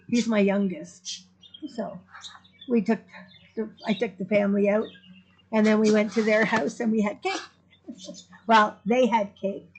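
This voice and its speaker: A woman's fairly high voice, ordinary in its pitch variation, with noticeable background noise. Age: 60s. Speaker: vlogger. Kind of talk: casual chat.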